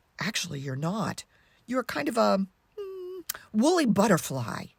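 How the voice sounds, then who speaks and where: A put-on character voice at a fairly high pitch, with a warm tone. The pace is moderate. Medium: read story. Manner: warm, reassuring.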